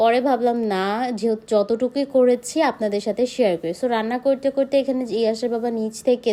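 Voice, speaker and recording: A woman's voice sits at a fairly high pitch with a dark, mellow tone and ordinary pitch variation. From Bangladesh, Narayanganj. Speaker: vlogger. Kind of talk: casual vlog narration.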